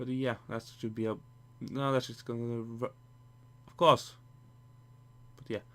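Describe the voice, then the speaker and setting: Fairly slow, monotone, flat speech from a man, with long, frequent pauses and big swings in loudness. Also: medium pitch for a man. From Norway. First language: Norwegian. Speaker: gaming YouTuber. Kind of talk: gameplay commentary. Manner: halting, many false starts; casual, rambling.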